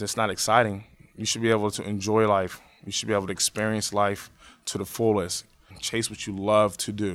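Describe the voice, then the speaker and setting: His pitch is fairly low, and he speaks with an American accent. The man's intonation stays flat and monotone at a fairly quick pace. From Pittsburgh area, Pennsylvania (Braddock). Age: 20s. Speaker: teacher. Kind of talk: oral history interview.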